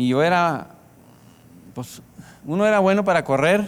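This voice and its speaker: This man talks at a moderate speed, his pitch varying in an ordinary way. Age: 40s. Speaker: pastor. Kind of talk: sermon. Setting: church.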